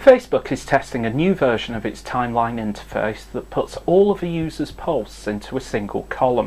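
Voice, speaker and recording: In a northern English accent, the speaker moves at a fairly quick pace with hardly any pauses. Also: man. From northern England. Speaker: tech news presenter. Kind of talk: scripted news update.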